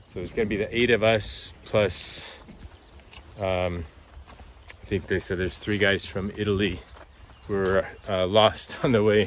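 At a very slow pace, a man with a fairly low pitch talks in fairly even intonation, the sound dry with no echo and a light noise in the background. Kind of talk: casual vlog chat. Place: home room. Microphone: phone near.

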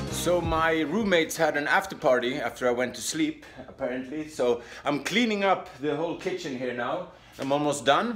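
Lively intonation and a moderate pace mark this voice with a Swedish accent. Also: man. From Sweden. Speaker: stand-up comedian. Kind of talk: casual vlog talk to camera. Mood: wry, self-mocking. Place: home room. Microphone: phone near.

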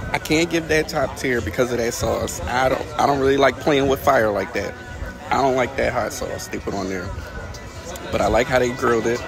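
A man talks at a moderate pace. Clear music plays behind him, and the sound is dry with no echo. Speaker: food vlogger. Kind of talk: casual food review vlog. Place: cafe. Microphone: phone near.

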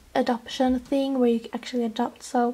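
A woman with a Swedish accent speaks at a fairly slow pace in a high pitch. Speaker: toy collector video host. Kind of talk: casual show-and-tell. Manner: enthusiastic, chatty.

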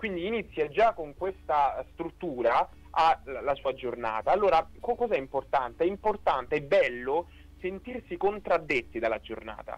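His pitch is high and swings very widely. The man keeps a moderate pace. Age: 20s. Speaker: philosophy student; interview guest. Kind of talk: radio interview testimony. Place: studio. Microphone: studio mic.

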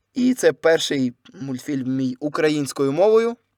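Dry and close with no echo, a man's plain, everyday voice goes at a fairly slow pace, fairly high in pitch with ordinary pitch variation. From southern Ukraine, Kherson, then Lviv region. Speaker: YouTuber and voice-over artist. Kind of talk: casual solo podcast monologue.

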